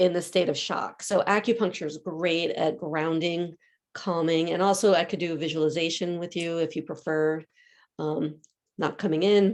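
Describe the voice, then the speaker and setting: An ordinary speaking voice with an American accent, fairly even intonation and a moderate pace over a quiet background. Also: woman, fairly low pitch for a woman. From US Northeast, Philadelphia. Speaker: acupuncturist. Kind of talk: community talk, Q&A.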